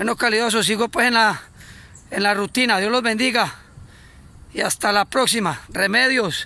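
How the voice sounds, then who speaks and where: With an Antioquian accent, a raised, projected voice comes through at very even loudness and with fairly even intonation, moving at a moderate pace with long, frequent pauses, its tone bright and sharp and the sound dry with no echo. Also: man, high pitch for a man. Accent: Colombian paisa Spanish. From Colombia, Antioquia. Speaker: cyclist vlogger. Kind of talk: casual video greeting. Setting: outdoors. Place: open country. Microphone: phone near.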